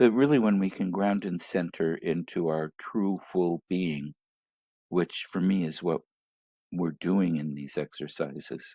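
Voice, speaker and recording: With a very deep, low pitch and ordinary pitch variation, a man speaks at a fairly slow pace. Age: 60s. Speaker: spiritual teacher and show host. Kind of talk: solo livestream talk. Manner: halting with frequent ums.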